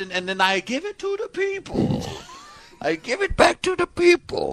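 In a put-on character voice, a man speaks at a moderate pace with an extremely high pitch. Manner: playful, cartoonish.

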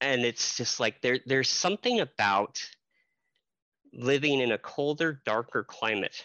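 At a fairly slow pace, a man with a plain, everyday voice keeps a medium pitch, ordinary pitch variation and very even loudness. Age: 30s. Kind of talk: casual chat.

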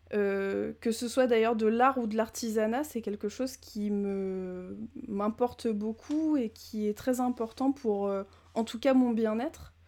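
In a very clean recording with a silent background, a woman speaks very slowly in a fairly high, dark, mellow voice with fairly even intonation. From Normandy, France. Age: 20s. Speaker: former teacher and cinema podcaster. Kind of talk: casual interview. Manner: halting.

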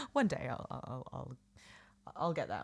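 Vocal fry in a bright, sharp tone. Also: woman. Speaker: podcast co-host. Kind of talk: casual chat. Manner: animated, jokey.

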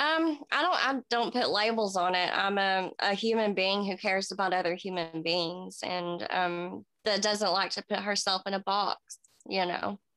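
A woman with an Appalachian accent speaks at medium pitch and a moderate pace, her loudness very even and her pitch varying in an ordinary way, in a dry, close recording with no echo. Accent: US Southern (Appalachian). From Tennessee. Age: 30s. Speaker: recovering addict and mother. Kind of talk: interview. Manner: halting, with many fillers.

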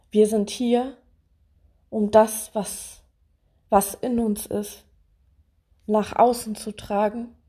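A woman speaks at a very slow pace in a fairly high pitch and a dark, mellow tone. Her voice is somewhat breathy and her intonation monotone and flat. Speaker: podcaster. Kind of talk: personal monologue. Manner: hesitant with many fillers.

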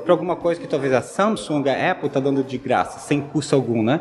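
A man with a fairly high pitch speaks at a moderate pace against noticeable background noise. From Brazil, Santa Catarina (Joinville). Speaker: tech company CEO. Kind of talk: interview.

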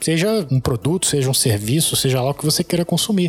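The pitch swings very widely at a very fast pace. Background noise is noticeable. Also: man. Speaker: finance podcaster. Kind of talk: casual interview.

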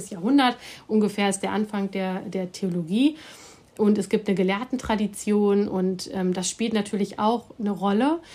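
Dark and mellow in tone, a woman speaks at medium pitch and a moderate pace with ordinary pitch variation. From Germany, Hamm (Westphalia). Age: 40s. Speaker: professor of Islamic theology. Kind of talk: interview, expert explanation.

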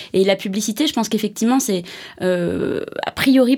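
A woman's voice with ordinary pitch variation. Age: 30s. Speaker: creative director at an advertising agency. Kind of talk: interview. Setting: studio.

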